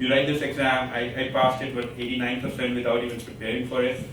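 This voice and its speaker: A man with an Indian accent speaks at a medium pitch. Audible room echo and noticeable background noise fill the recording. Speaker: panelist, business consultant and entrepreneur. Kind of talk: panel discussion. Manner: fast.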